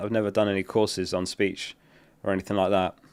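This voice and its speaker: A man talks at a fairly quick pace with a British accent. The recording is very clean, with a silent background. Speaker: fantasy football streamer. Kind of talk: live stream chat. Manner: even, measured delivery.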